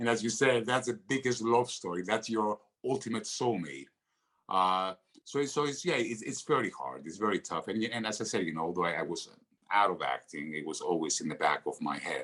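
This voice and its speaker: Moving at a fairly quick pace, a man with a Greek accent speaks at a fairly low pitch with very wide pitch swings and vocal fry. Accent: Greek accent, noticeable. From Greece. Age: 50s. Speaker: actor. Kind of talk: podcast interview. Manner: halting, many fillers.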